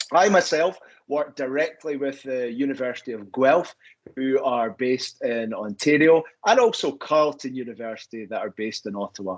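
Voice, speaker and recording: The voice carries a Scottish accent and lively intonation at a moderate pace. Its loudness swings widely. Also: man, medium pitch for a man. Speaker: university recruitment representative. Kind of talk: webinar presentation.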